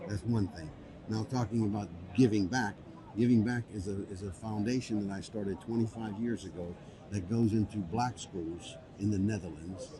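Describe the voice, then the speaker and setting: Against noticeable background noise, a man with an American accent talks at a fairly low pitch with ordinary pitch variation. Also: moderate pace. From United States. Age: 60s. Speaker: business founder and public speaker. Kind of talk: interview. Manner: hesitant, many fillers.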